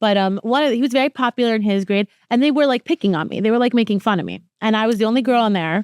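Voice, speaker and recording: On a very clean recording with a silent background and a dry, close sound with no echo, a woman with a fairly high pitch speaks at a very fast pace in an animated tone, with ordinary pitch variation. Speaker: podcast host. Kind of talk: casual chat. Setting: rented home.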